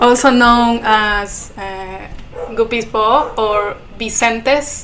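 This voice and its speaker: Speaking at a very slow pace with a Spanish accent, a woman uses a fairly high pitch and fairly even intonation amid audible room echo. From Ecuador. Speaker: artist, podcast guest. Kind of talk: interview.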